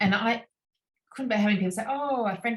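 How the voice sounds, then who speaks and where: Speaking in an Australian accent, this somewhat breathy voice moves at a fairly quick pace with lively intonation. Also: woman. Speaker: tour guide and art teacher. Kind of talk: casual chat. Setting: video call.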